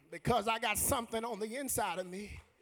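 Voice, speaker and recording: A man's extremely high-pitched, animated voice at a moderate pace, with ordinary pitch variation and music in the background. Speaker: preacher. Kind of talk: sermon. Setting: church. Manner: animated, call-and-response preaching; loud, rhythmic, exhortative.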